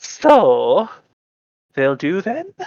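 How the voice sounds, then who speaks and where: The voice is a put-on character voice. It sits at a high pitch. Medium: actual play. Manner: brash, rough.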